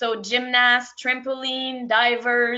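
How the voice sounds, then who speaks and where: In a French accent, a woman speaks at a high pitch. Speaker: sport psychology practitioner. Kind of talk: webinar presentation. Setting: online webinar. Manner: halting.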